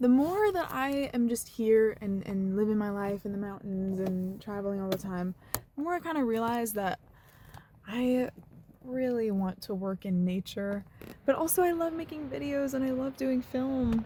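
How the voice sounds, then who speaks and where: A woman with an ordinary speaking voice, fairly high in pitch, with lively intonation at a moderate pace. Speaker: travel vlogger. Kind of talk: vlog narration. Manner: casual, lots of fillers.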